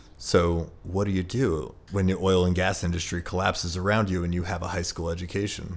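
Talking at a fairly quick pace with hardly any pauses, a man with a very deep, low pitch keeps a monotone, flat intonation amid audible room echo. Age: 30s. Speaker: former grocery bagger turned property owner. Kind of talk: casual chat. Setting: home apartment.

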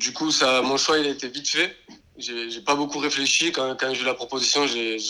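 A man at a medium pitch speaks at a moderate pace with fairly even intonation, over noticeable background noise. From southern France, Béziers. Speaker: professional footballer. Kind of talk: interview.

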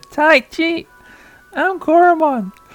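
Faint music plays behind a woman doing a squeaky, put-on character voice at an extremely high pitch. Her tone is cheerful. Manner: cheerful, sweet.

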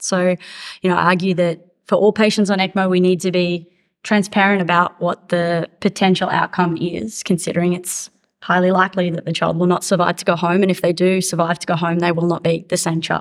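On a very clean recording with a silent background, a woman with an Australian accent and a fairly low pitch speaks fairly quickly in a monotone, flat way. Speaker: cardiac intensivist. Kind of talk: panel discussion.

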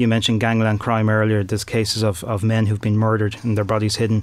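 A man speaks in a Dublin accent at a fairly low pitch. The recording is very clean with a silent background. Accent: Dublin Irish. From Ireland, Dublin. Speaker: crime journalist and author. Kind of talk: interview. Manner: halting, many fillers and repeated words.

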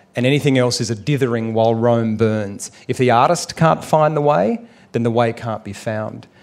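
A man with an Australian accent, medium pitch and fairly even intonation. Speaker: actor and documentary maker. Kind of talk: live on-stage conversation. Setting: stage with audience at a writers festival.

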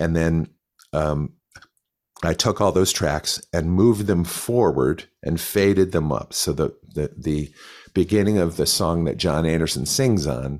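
The voice moves at a very slow pace with vocal fry and ordinary pitch variation. The recording is very clean, with a silent background. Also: man. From Connecticut, US. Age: 60s. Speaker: guitarist and session musician. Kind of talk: casual interview, storytelling.

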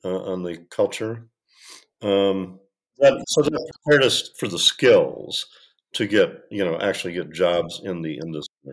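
With an American accent, a man speaks fairly slowly at a fairly low pitch, making very wide pitch swings. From US, Michigan. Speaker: industrial designer and design educator. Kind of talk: interview. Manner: halting, many fillers.

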